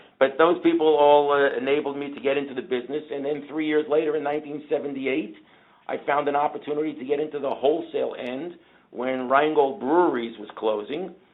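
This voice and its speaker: A man talks at a fairly quick pace with a fairly high pitch. His loudness swings widely while his intonation stays fairly even. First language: Yiddish. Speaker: beer distributor business owner. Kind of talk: interview storytelling.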